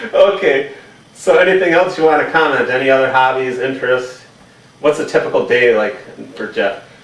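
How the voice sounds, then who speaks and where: Amid noticeable background noise and audible room echo, a man with an American accent talks at a fairly quick pace in a fairly high voice with ordinary pitch variation. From Wisconsin. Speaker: interviewer. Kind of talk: casual home interview. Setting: in a home, on camera. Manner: playful.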